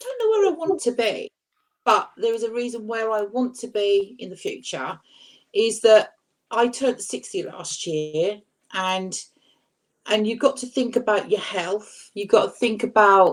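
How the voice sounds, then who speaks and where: A woman speaks at a fairly slow pace with fairly high pitch and lively intonation, in a normal speaking voice. Her loudness swings widely. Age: 60s. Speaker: weight-loss YouTuber on a panel. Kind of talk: casual chat.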